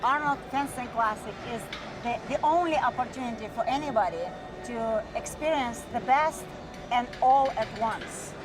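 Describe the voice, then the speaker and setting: Over music in the background, a woman with a high pitch and ordinary pitch variation speaks at a moderate pace. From Russia. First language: Russian. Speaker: fencing coach. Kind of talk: TV interview.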